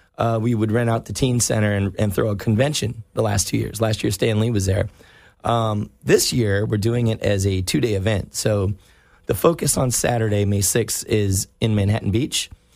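A man with an American accent speaks at a moderate pace in a fairly low pitch, his intonation fairly even. It's a normal speaking voice, in a very clean recording with a silent background. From US South, North Carolina. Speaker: comic book store owner. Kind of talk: casual chat. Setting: studio.

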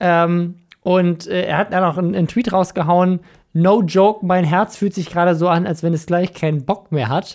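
A man with a high pitch and fairly even intonation, at a moderate pace. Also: very clean recording, silent background. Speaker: podcast host. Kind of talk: casual banter podcast.

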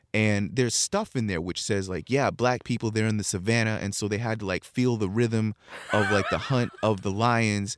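A man with a fairly low pitch speaks at a moderate pace with fairly even intonation. Noticeable background noise runs behind him. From California, San Bernardino. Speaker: culture journalist and hip hop researcher. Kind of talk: casual interview chat.

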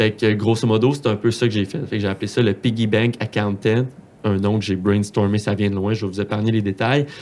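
In a Quebec accent, the speaker talks with fairly even intonation. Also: man. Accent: Quebec French, Saguenay. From Quebec, Saguenay. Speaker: accountant and Excel content creator. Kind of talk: casual interview. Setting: studio.

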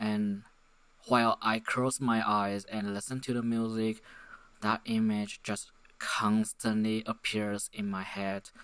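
A man speaks at a very slow pace in a fairly low pitch with monotone, flat intonation. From Taiwan. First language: Mandarin Chinese. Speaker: podcaster. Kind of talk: solo monologue. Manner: halting; many fillers.

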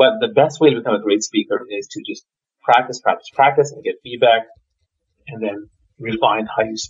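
A man talks at a fairly quick pace and medium pitch, somewhat breathy, with lively intonation. His loudness swings widely, and he leaves long, frequent pauses. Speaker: leadership speaker and coach. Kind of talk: interview conversation. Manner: talks too fast.

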